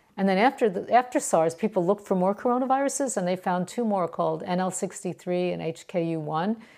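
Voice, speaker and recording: Very fast and with hardly any pauses, a woman speaks with a medium pitch, lively intonation and a dark, mellow tone. The recording is very clean, with a silent background. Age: 60s. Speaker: microbiology professor. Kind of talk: interview. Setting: at home in her kitchen.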